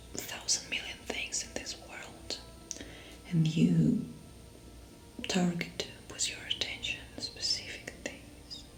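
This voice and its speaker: A woman whispers at a very slow pace. Music plays in the background. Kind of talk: ASMR role play as a therapist. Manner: soft-spoken. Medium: role play.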